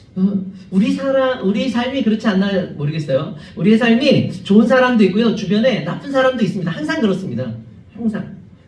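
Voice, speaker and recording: A man with a high pitch and lively intonation talks at a fairly quick pace. Audible room echo and noticeable background noise are present. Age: 50s. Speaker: pastor. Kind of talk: sermon. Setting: church. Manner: fast.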